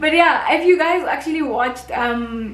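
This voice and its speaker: A woman with a Botswana accent speaks at a moderate pace. Room echo is audible, and there is noticeable background noise. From South Africa, North West Province. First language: Setswana. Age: 20s. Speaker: YouTuber and university student. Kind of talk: casual vlog monologue.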